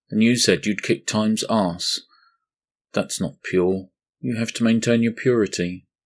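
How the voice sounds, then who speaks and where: A man puts on a robotic character voice at medium pitch and a moderate pace. The recording is very clean, with a silent background. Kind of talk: archaic biblical speech. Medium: read story. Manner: formal, solemn, detached.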